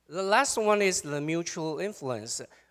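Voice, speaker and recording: A man with a Taiwanese accent speaks at a fairly slow pace. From Taiwan, Chiayi (southern Taiwan). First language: Taiwanese Hokkien / Mandarin. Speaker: professor. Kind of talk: panel presentation.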